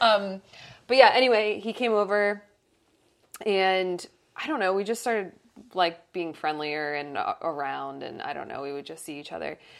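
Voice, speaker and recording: A woman's medium-pitched voice with lively intonation, big swings in loudness, a moderate pace and long, frequent pauses, on a very clean recording with a silent background. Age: 30s. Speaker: podcast co-host. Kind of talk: casual chat.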